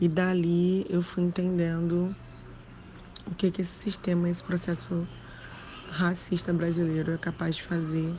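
A woman's fairly low, somewhat breathy voice with a dark, mellow tone, flat monotone intonation, very even loudness, a fairly slow pace and long, frequent pauses. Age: 30s. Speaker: writer and social worker. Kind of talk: interview.

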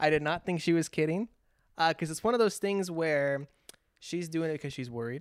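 A man with a plain, everyday voice and an American accent, fairly high in pitch, at a moderate pace with ordinary pitch variation, on a very clean recording with a silent background. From California. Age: 20s. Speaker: podcast host. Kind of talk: casual chat.

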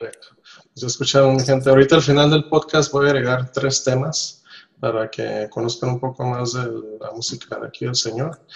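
Somewhat breathy and monotone, a man speaks at a moderate pace and medium pitch with big swings in loudness. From Nicaragua. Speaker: podcast host. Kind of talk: casual chat. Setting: home office, remote call.

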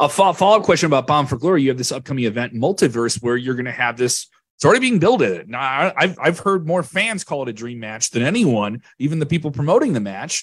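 A man talks at a fairly quick pace with lively intonation and a fairly high pitch. It is an unremarkable speaking voice. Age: 40s. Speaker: sports media reporter. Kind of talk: press conference question. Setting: online video call.

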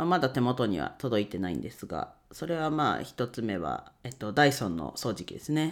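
On a very clean recording with a silent background, a man at a medium pitch uses vocal fry and lively intonation. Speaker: podcaster, bookkeeping YouTuber. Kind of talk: casual solo talk.

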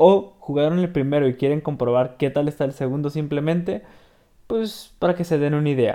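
With a dark, mellow tone, the man's voice shows ordinary pitch variation. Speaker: gaming podcaster. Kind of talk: game walkthrough commentary. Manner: halting.

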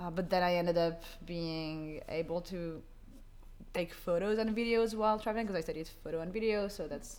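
With audible room echo, a woman speaks fairly quickly in a fairly low voice with ordinary pitch variation. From France, Paris. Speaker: social media creator. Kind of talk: interview. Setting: co-working space.

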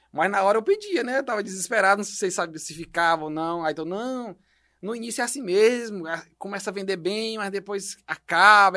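On a very clean recording with a silent background, a man uses a raised, projected voice at a high pitch, bright and sharp in tone, with ordinary pitch variation and a fairly quick pace. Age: 30s. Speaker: entrepreneur, company director. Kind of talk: podcast interview.

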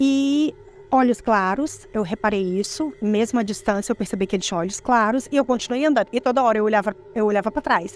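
Background noise is noticeable as a woman talks at a fairly quick pace. Her pitch is fairly high, with ordinary pitch variation. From Espírito Santo, Brazil. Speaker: eyewitness telling her own experience. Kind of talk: first-person ghost story telling, recounting a creepy childhood encounter.

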